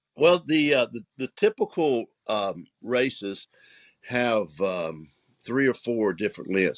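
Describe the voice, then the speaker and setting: A man of medium pitch speaks with very wide pitch swings. The recording is very clean with a silent background, and the sound is dry and close with no echo. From US South, South Carolina. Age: 70s. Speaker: author and dragon boat coach. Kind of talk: interview conversation. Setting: podcast interview. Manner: halting, many repetitions and fillers.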